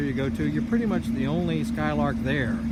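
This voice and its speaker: A man at a very fast pace, with audible room echo and noticeable background noise. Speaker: private car seller. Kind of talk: casual video walkaround sales pitch. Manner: casual with filler words; speaking louder to be heard.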